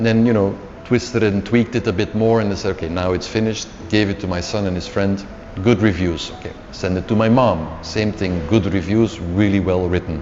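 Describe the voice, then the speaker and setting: A man's fairly low voice with a Flemish Belgian accent, fairly quick and fairly even, over noticeable background noise. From Belgium (Flemish, Antwerp). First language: Dutch. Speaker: author. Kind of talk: interview storytelling. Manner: hesitant, repeats words.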